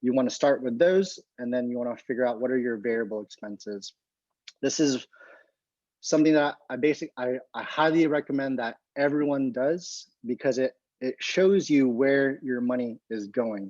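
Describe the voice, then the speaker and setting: A man with an ordinary speaking voice talks at a moderate pace with ordinary pitch variation, in a dry, close sound with no echo. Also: medium pitch for a man. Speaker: physical therapist and presenter. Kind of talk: lecture.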